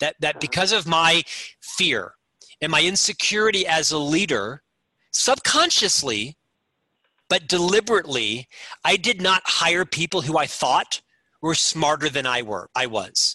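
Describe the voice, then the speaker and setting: A man with a fairly high pitch and a bright, sharp tone talks at a fairly slow pace with lively intonation, vocal fry and long, frequent pauses, in a dry, close sound with no echo. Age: 50s. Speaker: corporate executive and leadership author. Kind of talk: interview.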